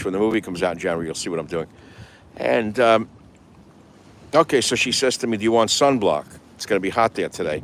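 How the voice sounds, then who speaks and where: A fairly low-pitched man with an American accent, very fast delivery broken by long, frequent pauses, and lively intonation. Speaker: radio talk show host. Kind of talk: talk show monologue. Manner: casual, rambling.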